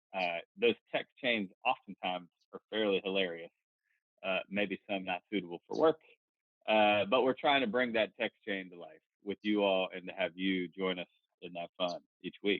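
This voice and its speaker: With a Southern US accent, a man speaks at a moderate pace in a fairly low pitch, with ordinary pitch variation, big swings in loudness and long, frequent pauses. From North Carolina. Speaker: podcast co-host. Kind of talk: casual chat.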